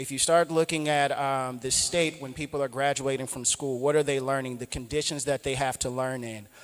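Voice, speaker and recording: A man at a fairly high pitch, fairly quick pace and monotone, flat intonation, with hardly any pauses. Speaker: startup founder, panelist. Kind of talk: panel discussion.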